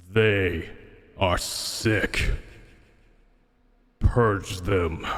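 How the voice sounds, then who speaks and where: A man speaks very slowly in a put-on character voice. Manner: ominous, commanding.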